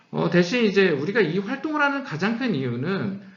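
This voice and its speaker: Pitch swings very widely throughout. Audible room echo surrounds the voice. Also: man. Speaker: company CEO giving lecture. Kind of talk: lecture. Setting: online lecture. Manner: speeding up, hurried.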